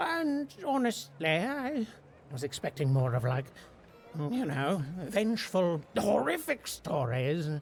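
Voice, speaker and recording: The speaker puts on a character voice at a middle pitch. The pace is fairly slow, with clear background noise. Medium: video game. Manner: excitable, stammering, laughs often.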